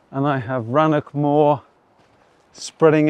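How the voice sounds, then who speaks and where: A man with an English accent, fairly high in pitch, slow-paced and monotone, with flat intonation. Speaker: hiking vlogger. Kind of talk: outdoor vlog narration. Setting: outdoors on a hiking trail.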